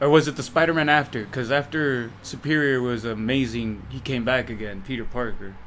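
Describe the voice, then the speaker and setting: A man talks at a fairly quick pace with a medium pitch and ordinary pitch variation. He hardly pauses, and there is noticeable background noise. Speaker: podcast co-host. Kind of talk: casual chat.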